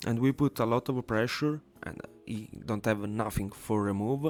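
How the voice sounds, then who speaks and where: A man speaks with a non-native accent. Music plays behind him. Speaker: card game content creator. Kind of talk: live gameplay commentary.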